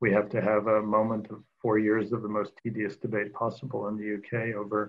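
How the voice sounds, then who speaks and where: Here a man with an American accent talks at a fairly quick pace. He has an ordinary speaking voice and a medium pitch. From United States. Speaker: democracy scholar; panelist. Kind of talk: panel discussion. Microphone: video call.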